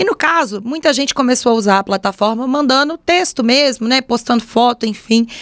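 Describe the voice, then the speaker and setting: A woman speaks with a Minas Gerais accent in a high voice. The sound is dry and close, with no echo. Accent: mineiro accent from Belo Horizonte. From Brazil, Belo Horizonte (Minas Gerais). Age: 20s. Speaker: podcast host and fashion influencer. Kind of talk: casual solo podcast monologue. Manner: chatty, informal.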